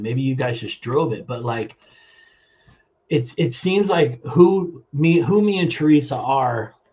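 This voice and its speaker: A man's lively intonation carries a somewhat breathy quality. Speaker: plumbing business owner. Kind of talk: interview. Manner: halting.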